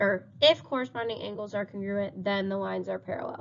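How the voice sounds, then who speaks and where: A woman's unremarkable speaking voice at medium pitch, with ordinary pitch variation. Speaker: math teacher. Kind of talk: recorded lesson.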